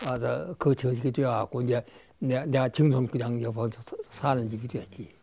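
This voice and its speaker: A man's somewhat breathy, dark and mellow voice at medium pitch, moving at a moderate pace with fairly even intonation. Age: 80s+. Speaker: elderly traditional scholar. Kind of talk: casual interview. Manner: halting.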